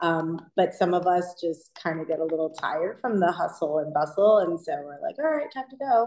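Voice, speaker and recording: A woman with a plain, everyday voice and an American accent, fairly low in pitch, at a moderate pace with lively intonation. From New York City (Queens). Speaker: chef. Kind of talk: interview.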